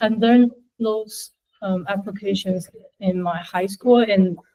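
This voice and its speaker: A dark, mellow, somewhat breathy voice with a Chinese accent. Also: woman. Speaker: university student. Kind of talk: class presentation. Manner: halting, many fillers.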